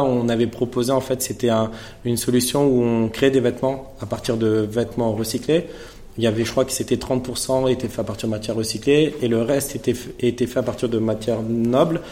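There is an audible room echo and noticeable background noise. A man with a medium pitch speaks in a monotone, flat way. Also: moderate pace. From Paris suburbs (Seine-Saint-Denis), France. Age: 30s. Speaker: fashion brand founder. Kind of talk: masterclass interview before a live audience. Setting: stage with audience.

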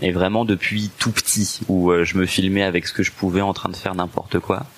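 There is noticeable background noise. A man talks at a moderate pace in a fairly low pitch. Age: 20s. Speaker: assistant store manager and sex-education YouTuber. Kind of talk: personal testimony interview. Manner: hesitant, many fillers and repetitions.

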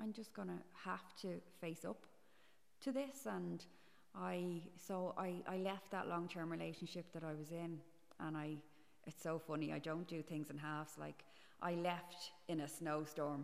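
With an Irish accent, a woman speaks at a fairly slow pace with long, frequent pauses, a fairly low pitch and ordinary pitch variation. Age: 40s. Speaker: podcast guest. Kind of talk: casual interview. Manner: halting.

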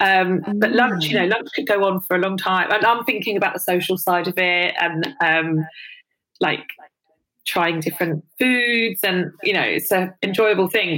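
A woman's voice of medium pitch, bright and sharp in tone, with a London accent. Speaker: influencer and body positivity advocate. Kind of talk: personal interview, candid testimony. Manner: hesitant, many fillers.

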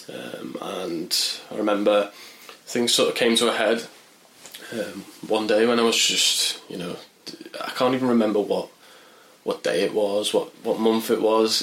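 A man with a Merseyside accent speaks at a fairly slow pace. There is noticeable background noise. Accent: Merseyside (Wirral) English. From northern England, Wirral. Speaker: journalist and mental health campaigner. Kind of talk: interview testimony. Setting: in person at charity office. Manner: hesitant, many fillers.

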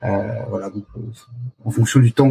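The man's voice has a dark, mellow tone, somewhat breathy and at a medium pitch. He talks at a moderate pace with a dry, close sound with no echo. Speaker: startup founder and CEO. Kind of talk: interview. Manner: halting; passionate.

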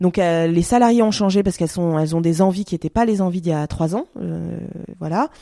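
A woman speaks in a plain, everyday voice, fairly low in pitch with ordinary variation, at a fairly quick pace, on a very clean recording with a silent background and a dry, close sound with no echo. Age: 30s. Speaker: fashion entrepreneur. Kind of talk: interview conversation. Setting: at home.

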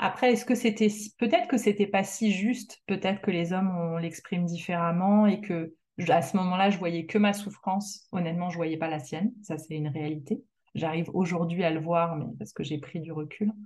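Keeping a moderate pace, the speaker sounds somewhat breathy. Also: woman, medium pitch for a woman, ordinary pitch variation. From France. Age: 40s. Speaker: woman going through solo fertility treatment. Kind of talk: personal testimony interview.

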